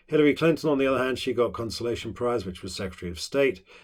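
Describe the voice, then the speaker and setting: A man with a British accent on a very clean recording against a silent background. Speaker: politics teacher. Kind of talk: lecture. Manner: fast; hesitant with many fillers.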